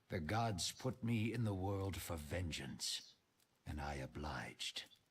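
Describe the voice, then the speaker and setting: Putting on a character voice, a man speaks at a fairly slow pace in a raspy, very deep, low pitch with lively intonation. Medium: actual play. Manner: menacing.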